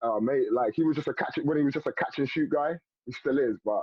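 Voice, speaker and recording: Speaking with a strong London accent, a fairly high-pitched man talks at a fairly quick pace in an animated tone with ordinary pitch variation. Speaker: former basketball player. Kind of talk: casual interview chat. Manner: animated storytelling.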